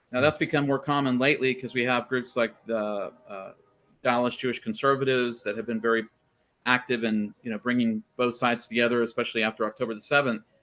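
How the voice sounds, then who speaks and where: Talking at a very fast pace, a man with an American accent has a bright, sharp tone, a medium pitch and monotone, flat intonation. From Texas. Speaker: scholar guest on faith podcast. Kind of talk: interview conversation.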